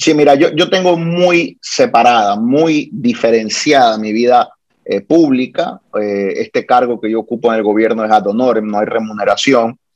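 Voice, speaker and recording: With an unremarkable speaking voice, a man talks at a moderate pace in a medium pitch, his intonation lively. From born in Guayaquil, Ecuador; Puerto Rico is his homeland. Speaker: lawyer and wine blogger. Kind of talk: casual interview.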